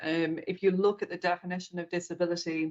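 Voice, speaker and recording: A woman talks at a fairly quick pace with a fairly low pitch and fairly even intonation. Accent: British. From Britain. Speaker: corporate accessibility executive. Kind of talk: interview.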